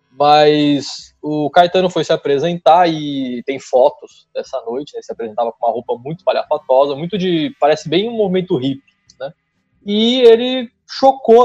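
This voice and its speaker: A man with a São Paulo accent and a fairly high pitch, speaking at a moderate pace with very wide pitch swings, in a dry, close sound with no echo. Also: big swings in loudness. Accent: paulista. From São Paulo state, São Bernardo do Campo. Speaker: history graduate and content creator. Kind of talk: casual interview.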